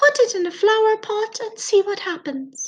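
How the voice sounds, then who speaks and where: In a put-on character voice, the speaker uses an extremely high, squeaky pitch at a moderate pace. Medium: read story.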